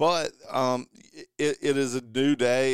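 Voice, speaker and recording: A man with an American accent has an unremarkable speaking voice at medium pitch, recorded with a dry, close sound with no echo. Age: 40s. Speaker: car dealer and golf pundit. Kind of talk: casual chat. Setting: studio.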